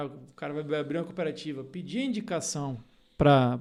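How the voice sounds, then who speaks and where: A man's fairly high-pitched voice. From Paraná, Brazil. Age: 30s. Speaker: agronomist and leadership mentor. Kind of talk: podcast interview. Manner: hesitant fillers.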